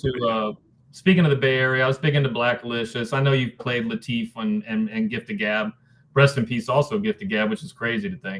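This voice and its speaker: Here a man with a plain, everyday voice speaks at a medium pitch. His intonation is lively and his pace fairly quick. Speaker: spoken word poet and rapper. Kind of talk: interview answer. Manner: casual, conversational.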